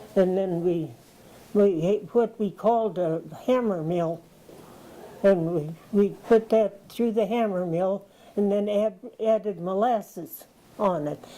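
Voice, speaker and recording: A woman's medium-pitched, dark and mellow voice at a very slow pace, with ordinary pitch variation and long, frequent pauses. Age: 80s+. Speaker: retired farm woman. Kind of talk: interview answer.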